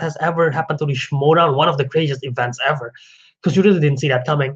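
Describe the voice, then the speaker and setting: A man's fairly high-pitched voice with a non-native accent. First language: not English. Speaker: podcast host. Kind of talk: casual solo commentary. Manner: animated; halting, self-correcting.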